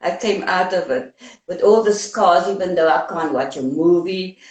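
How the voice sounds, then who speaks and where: Speaking with a South African accent, a woman takes a fairly slow pace. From South Africa, Cape Town. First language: Afrikaans. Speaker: anti-apartheid activist. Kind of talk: interview.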